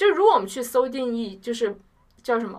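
A woman speaks in a plain, everyday voice. Her pitch sits fairly high and varies an ordinary amount. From China, Chongqing. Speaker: university student. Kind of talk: casual chat.

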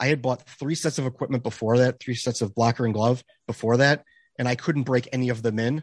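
In an unremarkable speaking voice, a man talks fairly quickly at medium pitch with fairly even intonation, in a dry, close sound with no echo and a quiet background. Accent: American. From Chicago area, US Midwest. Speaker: hockey podcaster and beer league goalie. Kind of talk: casual chat.

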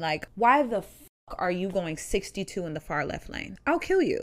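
A woman speaks at a fairly slow pace in an animated tone, with very wide pitch swings and big swings in loudness. The recording is very clean, with a silent background. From Ohio. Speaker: podcast co-host. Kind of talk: casual chat.

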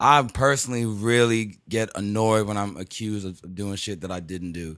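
Speaking at a fairly quick pace with fairly even intonation, a man with an American accent and an ordinary speaking voice sits at a fairly low pitch against a quiet background. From Texas, Houston. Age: 20s. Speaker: rapper. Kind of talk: casual chat.

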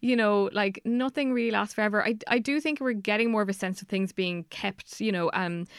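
A woman's medium-pitched voice with an Irish accent, very fast in pace, with ordinary pitch variation, dry and close with no echo, on a very clean recording with a silent background. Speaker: journalist and author. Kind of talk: interview.

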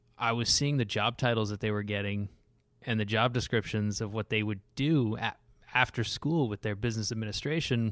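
With an American accent, a man in an ordinary speaking voice talks at a medium pitch and moderate pace with fairly even intonation, in a very clean recording with a silent background. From US West Coast. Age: 30s. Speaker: watchmaker. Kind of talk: casual interview.

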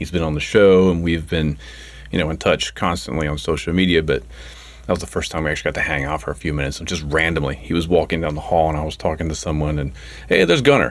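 A man talks at a very fast pace in a very deep, low pitch. His pitch variation is ordinary, with noticeable background noise behind him. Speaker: podcast host. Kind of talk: podcast hosting, interview. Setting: studio.

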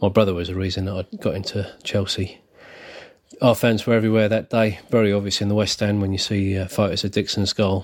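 In a very clean recording with a silent background, a man with a southern English accent speaks at a fairly quick pace in a fairly low, monotone, flat voice. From southern England, Berkshire. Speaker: football supporters club secretary. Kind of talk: pre-recorded fan story, read aloud.

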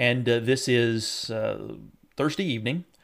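The speaker has a Southern US accent, recorded very cleanly against a silent background. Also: man. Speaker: meteorologist. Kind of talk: weather report. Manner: filler-heavy, frequent uh; explanatory, measured.

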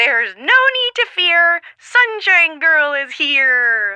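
A high, put-on character voice, very slow, with very wide pitch swings. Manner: heroic, proud.

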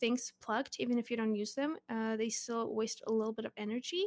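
A woman with a Russian accent, recorded with a dry, close sound and no echo. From Russia (Zelenograd, near Moscow). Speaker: charity advocate. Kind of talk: casual interview.

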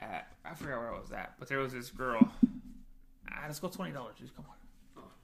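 A man with an American accent speaks at a moderate pace in a fairly high pitch, with vocal fry and lively intonation. His loudness swings widely, and he leaves long, frequent pauses. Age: 30s. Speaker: podcast co-host. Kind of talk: casual chat. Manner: animated.

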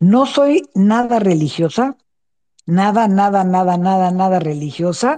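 A dark, mellow tone with lively intonation and very even loudness, at a fairly slow pace. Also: woman, medium pitch for a woman. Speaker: author and former prisoner. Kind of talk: online panel interview.

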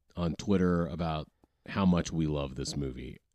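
A man is speaking. The background is quiet. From US South. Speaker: podcast guest. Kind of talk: casual chat. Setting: studio.

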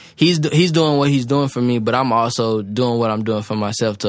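With an American accent, a man uses an unremarkable speaking voice at medium pitch and ordinary pitch variation. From South Carolina. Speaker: music producer. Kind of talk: casual interview.

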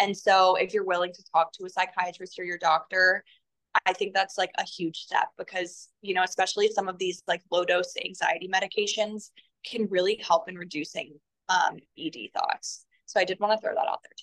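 Dry and close with no echo, a woman's voice at medium pitch carries an American accent, with fairly even intonation and big swings in loudness. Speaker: holistic health advocate. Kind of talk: casual chat. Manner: rambling, fast.

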